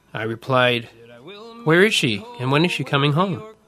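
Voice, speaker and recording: A man's voice with music in the background. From Winnipeg, Manitoba, Canada. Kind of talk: personal digital story narration.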